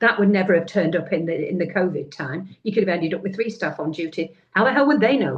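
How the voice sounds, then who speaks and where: A woman's very fast, lively, somewhat breathy delivery. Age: 60s. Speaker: care home manager. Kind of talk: panel discussion. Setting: livestream. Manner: halting.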